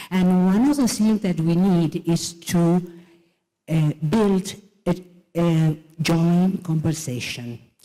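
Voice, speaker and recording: The speaker, with a Spanish accent, goes at a very slow pace with long, frequent pauses, very even loudness and ordinary pitch variation. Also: woman, fairly low pitch for a woman. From Argentina. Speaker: president of an international education organization. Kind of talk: conference keynote speech. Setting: conference stage. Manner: halting.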